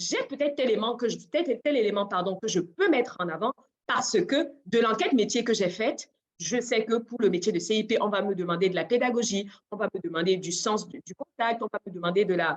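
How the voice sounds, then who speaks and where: Lively intonation runs through a woman's fairly quick speech. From Cameroon. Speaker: job search coach and adult trainer. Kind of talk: webinar presentation. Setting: online webinar. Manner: loud; laughs often.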